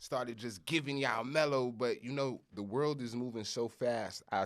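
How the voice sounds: Speech moves at a moderate pace. The background is silent, and the recording is very clean. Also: man.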